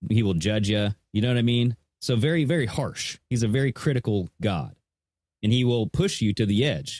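A man with an American accent talks in an ordinary speaking voice at medium pitch, moderate pace and very even loudness, his intonation lively. The sound is dry and close with no echo, and the recording is very clean with a silent background. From Washington state, US. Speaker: podcast co-host. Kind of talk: casual chat.

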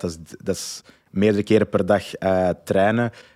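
Recorded very cleanly against a silent background, a man with a Flemish accent speaks in a flat monotone at a fairly low pitch. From Flanders, Belgium (Antwerp). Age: 30s. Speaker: entrepreneur and parenting coach. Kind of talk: interview. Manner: hesitant, many fillers and repetitions.

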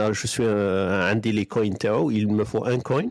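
Dry and close with no echo, the sound carries a man's voice. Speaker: podcast host. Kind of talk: casual group chat. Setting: online audio room.

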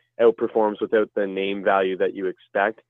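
The speaker is a man. He talks with a Canadian accent. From Canada, Ottawa area. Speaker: hockey analytics writer. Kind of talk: casual chat.

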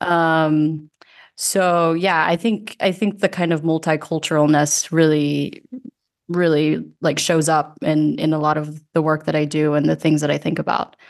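A woman with an American accent and a very deep, low pitch talks at a fairly slow pace in a monotone, flat intonation, with very even loudness over a quiet background. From US (grew up from age 8, Georgia), early childhood in the Philippines. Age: 30s. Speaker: futures designer. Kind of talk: casual chat.

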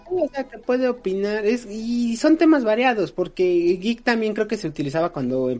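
Over noticeable background noise, a man with a high voice talks at a moderate pace, his pitch swinging very widely. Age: 20s. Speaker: podcast co-host. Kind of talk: casual chat.

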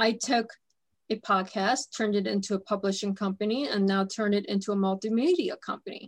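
A somewhat breathy woman with a fairly high pitch at a moderate pace, on a very clean recording with a silent background. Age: 30s. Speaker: radio host. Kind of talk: interview.

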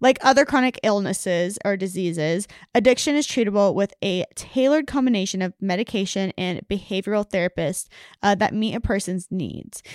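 Speaking at a fairly quick pace, this woman has an unremarkable speaking voice, medium pitch and ordinary pitch variation, recorded dry and close with no echo against a very clean, silent background. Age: 20s. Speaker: podcast co-host. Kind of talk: casual science chat.

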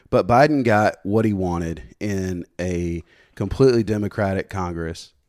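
A normal speaking voice moves at a moderate pace with ordinary pitch variation, and the recording is very clean with a silent background. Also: man. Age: 30s. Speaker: podcast guest. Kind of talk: casual chat.

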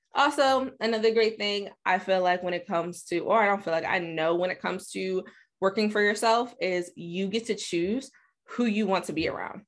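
A woman speaks in a normal speaking voice at medium pitch. Her pace is moderate, her pitch varies in an ordinary way, and the background is quiet. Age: 20s. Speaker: podcast host. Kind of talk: solo monologue podcast. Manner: casual, conversational.

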